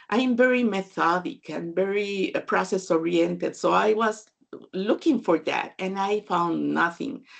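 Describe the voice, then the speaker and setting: A woman's fairly slow, medium-pitched voice with a Spanish accent against a quiet background. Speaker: data management consultant and author. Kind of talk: webinar talk.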